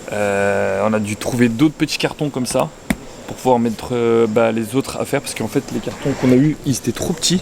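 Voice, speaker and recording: The talking moves at a fairly quick pace. Noticeable background noise is present. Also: man, medium pitch for a man, ordinary pitch variation. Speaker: travel vlogger, long-distance cyclist. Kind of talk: travel vlog narration. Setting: outdoors; airport. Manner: casual, slangy; loud.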